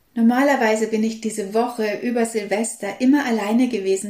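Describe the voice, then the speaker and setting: A woman with an unremarkable speaking voice talks at a moderate pace in a fairly high pitch, her intonation fairly even. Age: 50s. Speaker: holistic health coach and podcast host. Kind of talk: solo podcast monologue.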